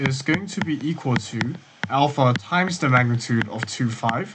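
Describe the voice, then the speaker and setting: A man with a medium-pitched voice talks fairly slowly while noticeable noise fills the background. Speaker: course tutor. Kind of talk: tutorial. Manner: self-correcting; halting.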